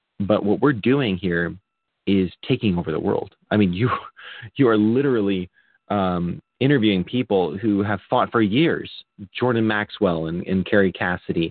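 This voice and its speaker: Here is a plain, everyday voice. A man with a fairly low pitch and ordinary pitch variation talks at a moderate pace. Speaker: guest, co-host, podcaster. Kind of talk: casual chat. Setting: video call from Taiwan, at home.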